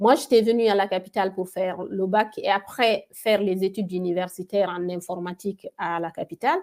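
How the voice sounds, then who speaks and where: Speaking at a fairly quick pace with hardly any pauses, a woman keeps a medium pitch and fairly even intonation. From Guinea. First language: a Guinean local language (speaking French). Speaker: tech entrepreneur. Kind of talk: interview. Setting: webinar video call.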